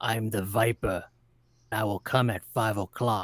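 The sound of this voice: A man puts on a raspy character voice at medium pitch, keeping his intonation monotone and flat. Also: dry, close sound with no echo.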